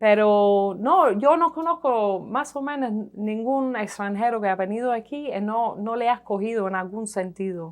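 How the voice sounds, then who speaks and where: With an English accent and a fairly high pitch, a woman talks with lively intonation and hardly any pauses against a quiet background. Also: fairly slow pace. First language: English (speaking Spanish). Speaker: economic historian, professor. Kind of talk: TV interview. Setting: TV studio. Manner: hesitant, with fillers.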